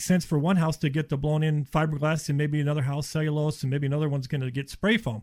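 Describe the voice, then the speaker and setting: On a very clean recording with a silent background, a man talks at a very fast pace in a fairly high, somewhat breathy voice with fairly even intonation. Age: 50s. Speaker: insulation contractor. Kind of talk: radio interview. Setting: studio.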